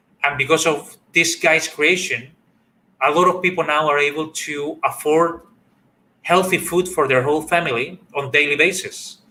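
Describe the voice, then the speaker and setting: With a Spanish accent, a man speaks at a moderate pace in a fairly high pitch. His tone is bright and sharp, and his intonation stays fairly even. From Chile. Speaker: workshop facilitator. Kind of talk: online workshop talk. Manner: halting.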